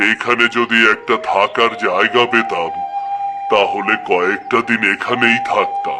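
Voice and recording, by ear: Over clear background noise, a man does a cartoonish character voice at a fairly slow pace.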